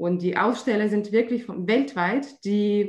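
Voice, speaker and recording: A woman with a medium pitch and a Russian accent speaks at a very slow pace. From Russia, St. Petersburg. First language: Russian (speaking German). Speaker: trade fair organizer. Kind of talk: interview. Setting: remote call. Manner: hesitant, many fillers.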